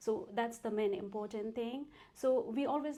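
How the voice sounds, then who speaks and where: Someone with a Nepali accent talks at a fairly slow pace with ordinary pitch variation. Noticeable background noise is present. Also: woman. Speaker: tax accountant and entrepreneur. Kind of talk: interview.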